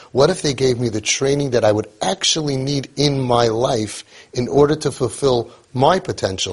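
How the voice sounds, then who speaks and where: A somewhat breathy male voice at a medium pitch, with ordinary pitch variation. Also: moderate pace. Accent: American. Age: 50s. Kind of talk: monologue.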